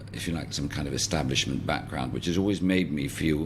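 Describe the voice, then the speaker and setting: A man talks at a moderate pace with a very deep, low pitch, vocal fry, and ordinary pitch variation. The recording carries audible room echo. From England and the Netherlands. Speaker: social entrepreneur, garden project founder. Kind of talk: interview. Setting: podcast. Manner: reflective, with hesitations.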